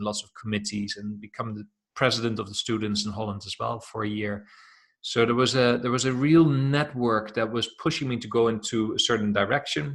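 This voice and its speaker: Fairly quick speech in a Dutch accent, with fairly even intonation and big swings in loudness, on a very clean recording with a silent background. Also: man. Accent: Dutch, noticeable. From Netherlands. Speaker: self-development coach. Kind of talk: interview.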